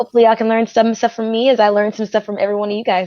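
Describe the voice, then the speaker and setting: With an American accent, a woman speaks at a fairly high pitch in a monotone, flat intonation, the sound dry and close with no echo. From Texas. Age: 20s. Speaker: model. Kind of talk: guest introduction.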